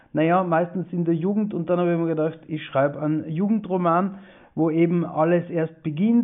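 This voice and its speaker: The man's voice sits at a high pitch. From Austria, East Tyrol (Lienz). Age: 40s. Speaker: author. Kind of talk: interview. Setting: video call.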